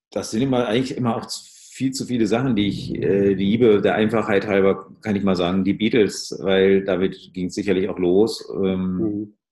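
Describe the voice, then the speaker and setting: A normal speaking voice at a moderate pace, with fairly even intonation and hardly any pauses. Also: man, fairly low pitch for a man. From Ruhr area, Germany. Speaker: musician and audio branding consultant. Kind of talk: casual interview.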